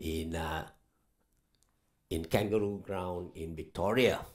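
A man speaks at a very slow pace over a quiet background. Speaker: speaker. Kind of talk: church welcome and introduction. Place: church. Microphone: headset.

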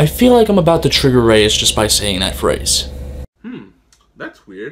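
A man speaks in an angry tone at a moderate pace. Light background noise runs underneath. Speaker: YouTuber. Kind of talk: profane comedic rant straight to camera, complaining about a festival. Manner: angry, expletive-laden venting, sarcastic and exasperated. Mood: annoyed, ranting. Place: home room. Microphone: webcam.

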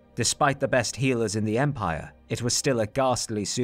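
Someone reads in an unforced reading voice.

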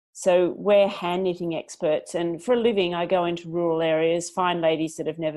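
With an Australian accent, a woman speaks at a fairly slow pace. Her intonation stays fairly even over a quiet background. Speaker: business founder; interview guest. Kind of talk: interview; interview answer. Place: home room. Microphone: earbuds.

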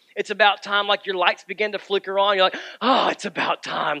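Over a quiet background, a man speaks very fast in a raised, projected voice. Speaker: pastor. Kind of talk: sermon. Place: church.

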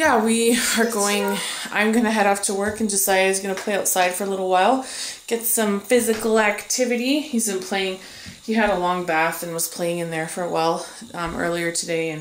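A woman speaks over light background noise, with audible echo in the room. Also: ordinary pitch variation, fairly quick pace. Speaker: parent vlogger. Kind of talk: casual vlog chat. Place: kitchen. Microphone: phone near.

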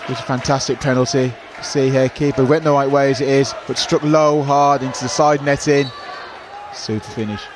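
A man's fairly high-pitched voice at a fairly quick pace, amid noticeable background noise. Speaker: co-commentator. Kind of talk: sports commentary. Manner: enthusiastic, effusive praise; choppy, fragmentary analysis.

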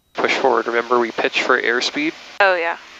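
Ordinary pitch variation marks this bright, sharp voice, heard as a dry sound with no echo over light background noise. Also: man. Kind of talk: casual instruction. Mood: relaxed, enthusiastic. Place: plane.

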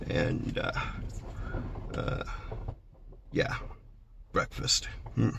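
A man speaks at a fairly slow pace while noticeable background noise is present. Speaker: van traveller vlogger. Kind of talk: casual vlog chat. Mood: relaxed, laughing a little. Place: car. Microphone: phone near.

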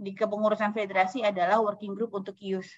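A woman's fairly high voice comes across against a quiet background. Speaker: humanitarian organisation youth official; webinar speaker. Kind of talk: online farewell speech. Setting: video call. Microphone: video call.

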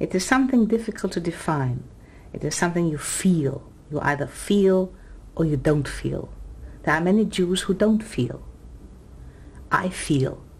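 A somewhat breathy woman's voice at a fairly low pitch, moderate pace, lively intonation and long, frequent pauses. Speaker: Yiddish theatre actress. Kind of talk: interview answer. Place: home room.

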